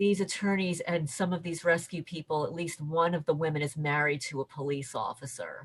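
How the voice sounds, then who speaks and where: Fairly even in intonation, a woman speaks with hardly any pauses. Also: fairly quick pace. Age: 60s. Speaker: interviewee reporting harassment. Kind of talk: interview testimony. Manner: halting, repeats words.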